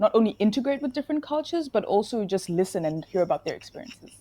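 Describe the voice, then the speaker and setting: A woman with a Zimbabwean accent speaks at a fairly high pitch in a dark, mellow, somewhat breathy tone, her intonation lively. The recording is very clean with a silent background and a dry, close sound with no echo. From Zimbabwe and Namibia. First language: Shona. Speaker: nursing student. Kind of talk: interview.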